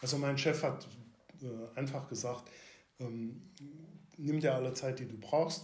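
Amid audible room echo, a man speaks at medium pitch in a somewhat breathy voice with fairly even intonation. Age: 60s. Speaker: retired police officer. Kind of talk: interview about personal mental health experience. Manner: halting, many fillers.

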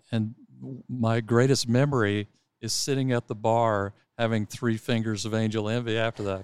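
Here is an ordinary speaking voice from a man at medium pitch, moderately paced with fairly even intonation, in a dry, close sound with no echo. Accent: American. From Texas. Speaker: golf club director. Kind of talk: casual interview. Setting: in person studio.

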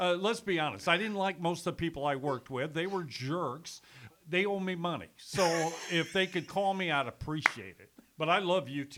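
Animated and bright with a sharp tone, a man speaks high-pitched at a moderate pace with ordinary pitch variation. His loudness swings widely. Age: 60s. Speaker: former radio sales executive and sports announcer. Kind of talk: casual chat. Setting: studio. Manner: animated, joking.

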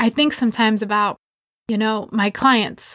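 A woman with an American accent talks at a fairly quick pace in a fairly high voice, a normal speaking voice, on a very clean, dry, close recording with a silent background and no echo. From US Northeast, Massachusetts. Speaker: podcast host and leadership coach. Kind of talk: personal monologue.

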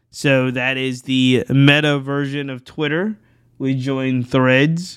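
Here a man speaks with an American accent at a fairly high pitch. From Richmond, Virginia (US South). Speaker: podcast host. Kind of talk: solo recap monologue.

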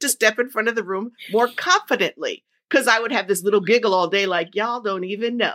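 A woman's very fast, animated speech with an American accent, fairly high in pitch with ordinary pitch variation. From New Jersey. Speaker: podcast host and confidence coach. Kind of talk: casual interview chat.

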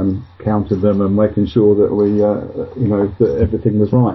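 The man's pitch sits fairly low. His voice is somewhat breathy. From England, Luton in Bedfordshire. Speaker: insurance trade association chairman. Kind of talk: casual interview. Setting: Skype call.

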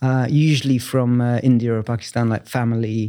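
Heard in a very clean recording with a silent background, a man with a London accent speaks in a dark, mellow tone. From southeast London, Bromley. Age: 50s. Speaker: architect and writer. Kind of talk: interview. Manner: halting, many fillers.

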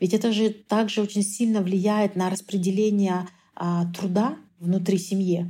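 A somewhat breathy woman at a fairly slow pace, dark and mellow in tone, with very even loudness and a monotone, flat intonation. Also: medium pitch for a woman. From Kyrgyzstan. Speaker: researcher. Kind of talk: interview.

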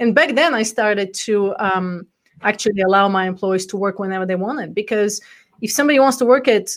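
With a Bulgarian accent, a woman talks at a fairly quick pace in a fairly high pitch with ordinary pitch variation. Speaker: entrepreneur and coach. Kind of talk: interview. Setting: live stream video call.

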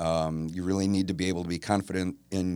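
A low-pitched man at a moderate pace, fairly even in intonation, on a very clean recording with a silent background

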